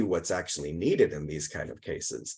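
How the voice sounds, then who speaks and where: A man's voice with vocal fry against a quiet background. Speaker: philosophy professor. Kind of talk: academic talk.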